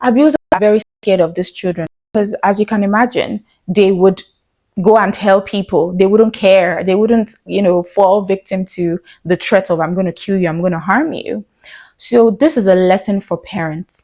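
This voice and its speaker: A woman speaks at medium pitch in a dark, mellow tone that is shaky, with ordinary pitch variation. The sound is dry and close with no echo. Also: moderate pace. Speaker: video blogger. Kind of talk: talking-head commentary.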